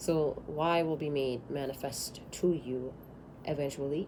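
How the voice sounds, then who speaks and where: In a room with audible echo, a woman speaks with a very deep, low pitch. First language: not English. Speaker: tarot reader. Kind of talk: tarot reading. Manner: animated.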